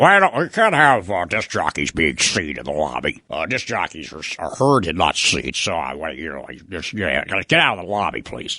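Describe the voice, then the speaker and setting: Putting on a character voice, a man speaks at a moderate pace with a very deep, low pitch and very wide pitch swings. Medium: solo performance. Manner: halting, hesitant.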